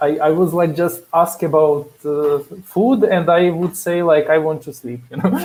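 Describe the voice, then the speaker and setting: The speech moves at a fairly slow pace with fairly even intonation, and there is noticeable background noise. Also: man. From Ukraine, Kyiv. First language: Russian or Ukrainian. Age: 30s. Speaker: front-end engineer. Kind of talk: interview. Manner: halting.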